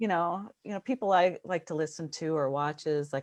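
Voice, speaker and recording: Over a quiet background, a woman's voice has ordinary pitch variation and a dry, close sound with no echo. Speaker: energy healer and light language channeler. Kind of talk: casual chat.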